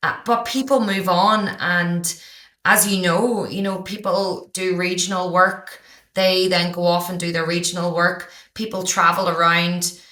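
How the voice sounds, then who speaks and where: A woman speaks fairly slowly at a medium pitch with fairly even intonation. Her tone is bright and sharp, and the room echo is audible. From Ireland, County Down. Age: 30s. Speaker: high school teacher and podcaster. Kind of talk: podcast interview.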